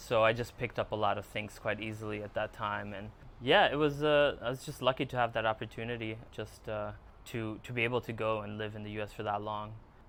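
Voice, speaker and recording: This man speaks with a Hungarian accent at a fairly quick pace. His pitch is medium and his intonation fairly even. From Germany and New York area. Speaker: filmmaker and photographer. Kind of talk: podcast interview. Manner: halting, many fillers.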